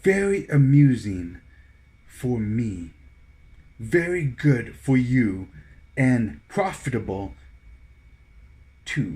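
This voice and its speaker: Using a put-on character voice, a man at medium pitch speaks at a very slow pace, with long, frequent pauses. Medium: read story.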